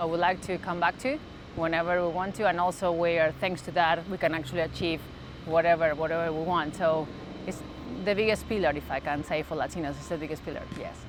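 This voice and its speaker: A woman's fairly low voice in a strong Argentine accent. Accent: thick Argentine Spanish. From Argentina, Santa Fe. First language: Spanish. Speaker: sports mental performance coach. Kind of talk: interview. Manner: halting.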